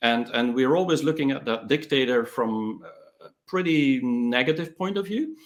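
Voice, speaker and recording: Speaking at a moderate pace, a man has a fairly high pitch and lively intonation. He talks with a non-native accent. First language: not English. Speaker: tech entrepreneur and author. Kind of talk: interview. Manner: hesitant, with fillers.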